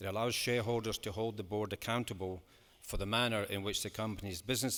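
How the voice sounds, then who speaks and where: Fairly even intonation and a fairly quick pace in a plain, everyday voice. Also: man. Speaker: football club chairman. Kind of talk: formal AGM speech to shareholders. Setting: large hall with an audience. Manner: measured, formal.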